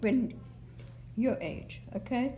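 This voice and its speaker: A woman is speaking. Audible room echo is present. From Germany, Heidelberg. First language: German. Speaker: oral history interviewee. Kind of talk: oral history interview. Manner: halting.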